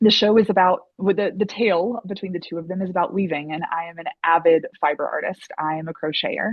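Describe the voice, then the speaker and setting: Racing along at a very fast pace, a woman with an American accent speaks at medium pitch with ordinary pitch variation and big swings in loudness. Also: hardly any pauses. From US South (Southeast). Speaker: actor and playwright. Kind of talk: interview. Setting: sit-down interview. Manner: hesitant, many fillers.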